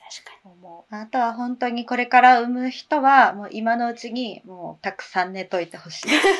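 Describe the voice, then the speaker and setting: A woman's high-pitched voice at a moderate pace, with ordinary pitch variation, big swings in loudness and hardly any pauses. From Sapporo, Japan. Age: 30s. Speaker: podcast co-host, mother. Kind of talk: casual chat.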